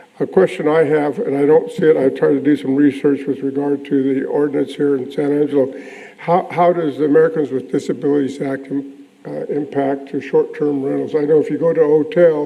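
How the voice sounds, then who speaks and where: Against noticeable background noise, a man with a fairly high pitch talks at a fairly quick pace with fairly even intonation. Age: 80s+. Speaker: property owner speaking at public meeting. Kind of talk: public comment. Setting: city planning commission meeting. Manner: halting.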